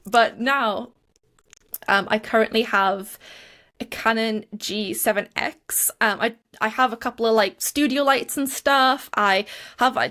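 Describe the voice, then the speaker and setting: A bright, sharp voice with a Geordie accent, fairly slow and fairly even in intonation, in a very clean recording against a silent background. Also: woman, fairly high pitch for a woman. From northern England, Newcastle (Geordie). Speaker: YouTuber and small business owner. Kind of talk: interview. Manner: hesitant, many fillers.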